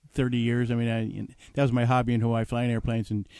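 A man with an American accent and a dark, mellow tone talks very fast at a medium pitch. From New Jersey. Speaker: master sommelier and professional speaker. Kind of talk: storytelling in radio interview. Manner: animated.

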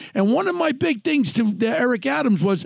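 A man's voice with a New York accent, lively intonation and a dry, close sound with no echo. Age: 70s. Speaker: podcast host, true crime. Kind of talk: casual interview chat. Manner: animated.

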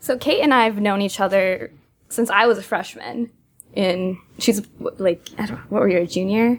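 A normal speaking voice from a woman with an American accent, moderate pace and ordinary pitch variation. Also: medium pitch for a woman. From Massachusetts. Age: 20s. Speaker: startup co-founder. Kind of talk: interview.

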